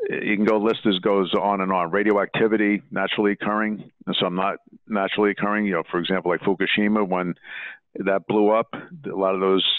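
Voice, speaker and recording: Fairly quick and in a monotone, flat intonation, a man with a fairly low pitch talks with an American accent. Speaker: water quality specialist. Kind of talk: interview. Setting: podcast. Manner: explanatory, conversational with some false starts.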